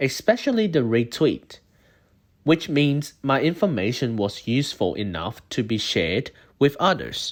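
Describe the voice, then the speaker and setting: A man with a non-native accent speaks at a fairly slow pace, his fairly high pitch taking very wide swings with vocal fry, on a very clean recording with a silent background. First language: not English. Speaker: university student. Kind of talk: scripted narration. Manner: formal.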